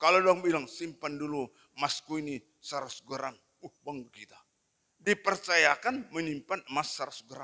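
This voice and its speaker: Against a quiet background, a man speaks at a moderate pace in a fairly high pitch with a bright, sharp tone, ordinary pitch variation and big swings in loudness. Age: 60s. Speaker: pastor. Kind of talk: sermon. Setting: church. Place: church. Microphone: handheld.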